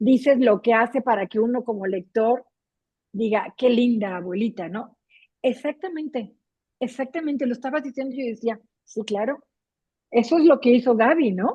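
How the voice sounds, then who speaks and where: Pitched high with ordinary variation, a woman speaks at a moderate pace and leaves long, frequent pauses. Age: 60s. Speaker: book club reader. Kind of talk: casual chat.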